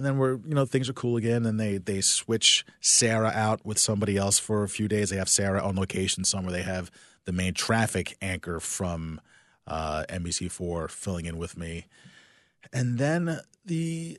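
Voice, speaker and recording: An unremarkable speaking voice from a man with an American accent, fairly low in pitch, moderate in pace, and lively in intonation, over a quiet background. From South Jersey, near Philadelphia. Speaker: TV sports anchor. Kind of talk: casual interview.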